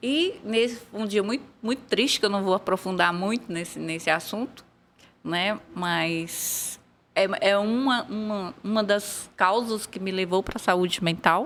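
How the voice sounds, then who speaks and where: The pace of this woman's speech is fairly slow. She shows ordinary pitch variation. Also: medium pitch for a woman. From São Paulo, Brazil. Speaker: former history teacher, mental health activist. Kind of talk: podcast interview.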